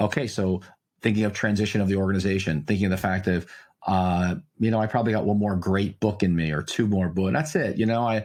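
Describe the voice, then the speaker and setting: At a very fast pace, a man with a fairly low voice talks with very even loudness. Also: ordinary pitch variation, quiet background. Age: 60s. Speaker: pastor and author. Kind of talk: interview conversation. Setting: podcast interview.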